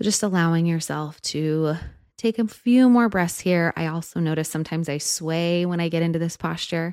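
In a very clean recording with a silent background, a woman with a plain, everyday voice speaks at a fairly low pitch with ordinary pitch variation. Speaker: podcast host and guide. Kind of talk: guided meditation. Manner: slow, soft, soothing, calm; instructional, unhurried, with pauses.

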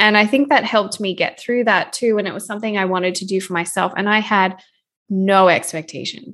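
At a moderate pace, a woman talks with medium pitch and fairly even intonation over a quiet background. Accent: Australian. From Australia. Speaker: food photographer and educator. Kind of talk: interview.

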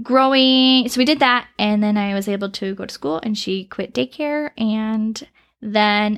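A woman's fairly high voice, an ordinary speaking voice with ordinary pitch variation, on a very clean recording with a silent background. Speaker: preschool teacher. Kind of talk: casual interview.

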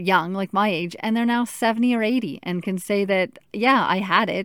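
In a very clean recording with a silent background and a dry, close sound with no echo, a woman with an unremarkable speaking voice talks at a moderate pace, medium pitch and fairly even intonation. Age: 30s. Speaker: teacher with colon cancer. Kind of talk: personal monologue.

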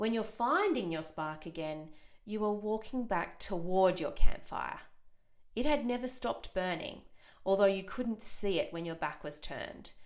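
Using an ordinary speaking voice, a woman at medium pitch speaks with lively intonation and big swings in loudness. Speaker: podcast host and mothers' coach. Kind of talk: guided meditation, imagining a campfire; solo podcast monologue. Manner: slow, calm, soothing; soft-spoken, gentle.

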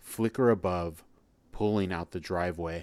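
The recording is very clean with a silent background. A man speaks at a fairly slow pace in a very deep, low voice. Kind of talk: horror story narration. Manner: dark, measured, ominous storytelling with hushed suspense; sinister first-person voice of a demonic narrator, building to a twist.

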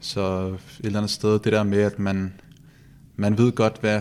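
This man speaks fairly slowly at a fairly low pitch, his dark, mellow tone held in a monotone, flat intonation. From Copenhagen, Denmark. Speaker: professional footballer. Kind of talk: interview. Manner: halting, with repetitions.

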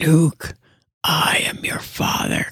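The speaker puts on a raspy character voice. It sits at a middle pitch. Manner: menacing.

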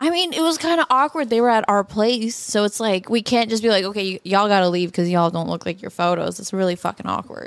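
A woman talks at a very fast pace, with hardly any pauses. Her intonation is lively. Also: medium pitch for a woman. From Canada, Toronto. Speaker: social media model and former college golfer. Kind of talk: casual chat.

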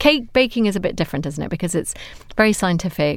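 A woman with a British accent in a very clean recording, background silent. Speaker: psychotherapist. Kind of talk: casual chat.

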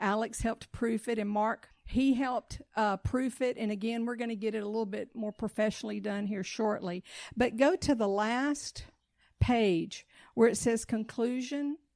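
A woman with a fairly high, warm voice speaks at a moderate pace with fairly even intonation on a very clean recording with a silent background. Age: 60s. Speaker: missionary. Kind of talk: church talk leading congregation in reading printed declarations aloud. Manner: warm, instructive, coaxing the congregation to read along.

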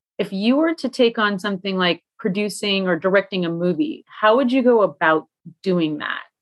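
A woman's normal speaking voice, medium in pitch, at a moderate pace with lively intonation. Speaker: podcast co-host. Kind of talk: casual interview.

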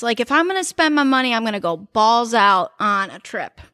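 A bright, sharp tone with very wide pitch swings, in an American accent. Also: woman, very clean recording, silent background. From Cleveland, Ohio. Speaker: guest, friend of host. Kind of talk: casual chat between friends. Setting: studio. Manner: animated, joking.

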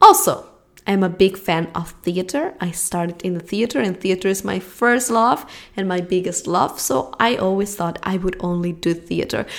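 A woman speaks at a moderate pace in a Spanish accent. Her tone is animated, and her pitch varies in an ordinary way. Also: medium pitch for a woman. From Spain. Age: 20s. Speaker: podcast host and acting coach. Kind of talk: solo podcast monologue and Q&A.

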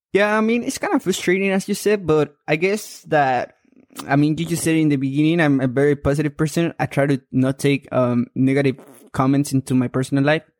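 Recorded dry and close with no echo, a man with a fairly high pitch and a strong Mexican accent talks at a fairly quick pace. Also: ordinary pitch variation. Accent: thick Mexican Spanish accent in English. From Mexico. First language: Spanish. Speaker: amateur boxer. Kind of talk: interview conversation.

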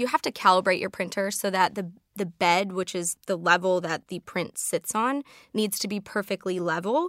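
In a very clean recording with a silent background and a dry, close sound with no echo, a woman with an American accent uses an ordinary speaking voice at medium pitch, moderate pace and ordinary pitch variation. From Chicago. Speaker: technology consultant. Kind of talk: casual interview chat.

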